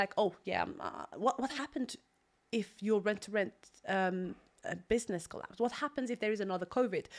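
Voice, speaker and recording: Speaking fairly quickly with an Algerian accent, a woman shows ordinary pitch variation on a very clean recording with a silent background. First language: Algerian Arabic. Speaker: property investor. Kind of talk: podcast interview.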